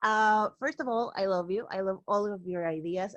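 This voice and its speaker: A woman with a Spanish accent speaks at a moderate pace in a medium pitch with ordinary pitch variation, the sound dry and close with no echo. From Peru. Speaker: teacher. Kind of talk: casual discussion.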